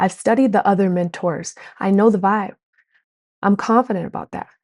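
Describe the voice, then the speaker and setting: Her tone animated, a woman speaks at a moderate pace, recorded dry and close with no echo. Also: medium pitch for a woman. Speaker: business coach. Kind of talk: online course lesson. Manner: loud.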